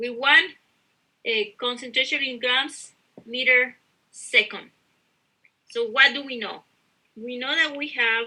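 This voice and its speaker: Pausing long and often, a woman talks at a fairly slow pace in a high voice with a bright, sharp tone and ordinary pitch variation. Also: big swings in loudness. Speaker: university instructor. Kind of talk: lecture.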